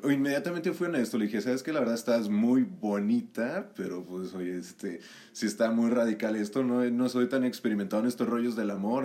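At a very fast pace and with hardly any pauses, a man speaks in a dark, mellow tone of medium pitch, with ordinary pitch variation. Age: 20s. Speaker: communication student. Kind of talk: casual chat.

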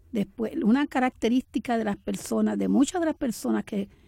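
A woman speaks in a fairly high, dark, mellow voice with ordinary pitch variation, the sound dry and close with no echo. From Puerto Rico, Camuy. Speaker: writer. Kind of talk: poetry reading; interview.

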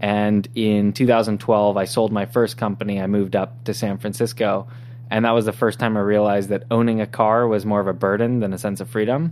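At a fairly quick pace, a man talks in a fairly low pitch with monotone, flat intonation. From Southern California (San Diego). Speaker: tech startup founder and CEO. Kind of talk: interview.

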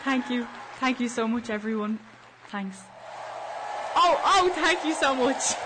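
A woman with a high voice speaks fairly slowly with lively intonation and long, frequent pauses. Noticeable background noise is present. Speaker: student radio co-host. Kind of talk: cheery co-host banter, playful radio chat. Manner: bubbly, warm, brisk.

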